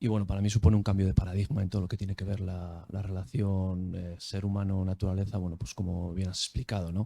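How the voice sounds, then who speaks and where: In a Basque accent, a man with a very deep, low voice and a dark, mellow, somewhat breathy tone speaks very fast, with hardly any pauses. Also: fairly even intonation. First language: Basque (speaking Spanish). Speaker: academic. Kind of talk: audience question at academic talk. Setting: video call. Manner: hesitant, many fillers.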